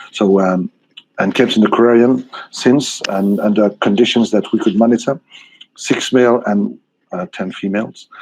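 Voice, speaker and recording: Fairly even intonation carries a man's medium-pitched voice at a moderate pace. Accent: French. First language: French. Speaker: aquarium researcher. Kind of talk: conference presentation. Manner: halting, many fillers.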